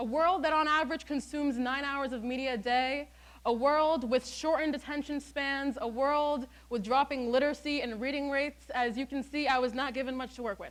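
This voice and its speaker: A woman speaks loudly at a high pitch and a fairly quick pace, in a very clean recording with a silent background. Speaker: student speaker. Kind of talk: TED-style talk. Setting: stage with audience. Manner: animated.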